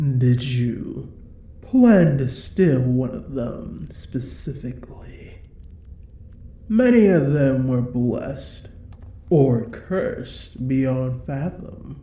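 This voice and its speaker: A woman puts on a character voice that is very deep and low. She speaks at a very slow pace. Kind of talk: audio roleplay. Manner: menacing, condescending.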